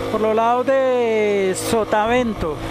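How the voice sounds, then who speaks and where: The recording has a dry sound with no echo but noticeable background noise. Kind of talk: casual vlog chat. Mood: admiring the view. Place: motorbike. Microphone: helmet.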